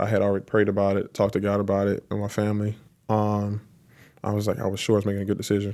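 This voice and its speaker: A man with a South Carolina accent at a very fast pace, his pitch fairly low, on a very clean recording with a silent background. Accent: Southern US (South Carolina). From US South, South Carolina (Lancaster). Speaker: professional football player. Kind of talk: interview. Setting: on location at a stadium venue.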